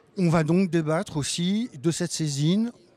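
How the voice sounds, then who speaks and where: A man with a dark, mellow tone, fairly high in pitch, with ordinary pitch variation and a dry, close sound with no echo. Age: 60s. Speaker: retired community council chair. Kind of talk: interview. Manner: hesitant.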